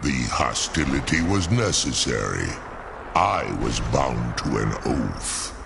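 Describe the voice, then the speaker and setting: Someone uses a put-on character voice at a fairly slow pace over loud background noise. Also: man. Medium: video game. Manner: formal, archaic, measured.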